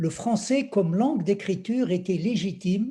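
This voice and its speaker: In a very clean recording with a silent background, a man with a dark, mellow tone speaks at a high pitch with lively intonation. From Algeria. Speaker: poet. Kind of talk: reading aloud.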